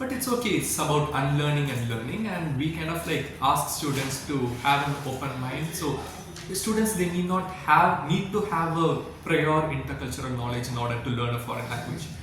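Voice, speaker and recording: Amid noticeable background noise and audible room echo, a man speaks at fairly high pitch with ordinary pitch variation. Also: moderate pace. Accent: Tamil. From India, Tamil-speaking. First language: Tamil. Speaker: French language institute representative. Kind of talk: interview.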